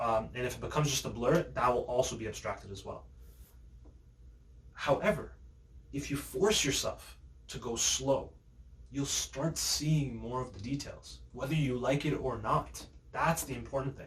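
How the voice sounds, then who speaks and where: A man talks at a moderate pace, leaving long pauses often. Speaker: youtuber vlogger. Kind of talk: casual vlog monologue. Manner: hesitant with fillers and self-corrections.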